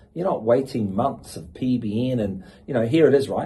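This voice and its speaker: Somewhat breathy and dark, mellow in tone, a man speaks at a moderate pace with lively intonation. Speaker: auctioneer and sales manager. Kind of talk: interview answer, conversational podcast talk.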